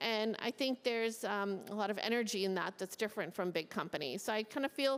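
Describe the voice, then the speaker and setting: With an American accent, a woman in a plain, everyday voice talks at a fairly high pitch and a fairly quick pace, with hardly any pauses, ordinary pitch variation and very even loudness. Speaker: tech executive. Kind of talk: panel interview. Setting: stage with audience.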